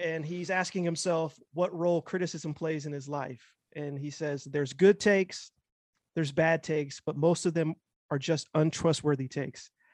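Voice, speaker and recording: The sound is dry and close with no echo, over a quiet background. A man with a fairly high pitch talks at a moderate pace with fairly even intonation. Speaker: podcast host. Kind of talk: casual chat. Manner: filler-heavy, halting.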